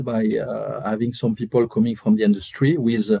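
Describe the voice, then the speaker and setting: Against a quiet background, a man with a French accent speaks at a moderate pace, his medium-pitched voice dark and mellow with ordinary pitch variation. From France. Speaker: airfreight tech company representative. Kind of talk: webinar panel discussion. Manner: hesitant with many fillers.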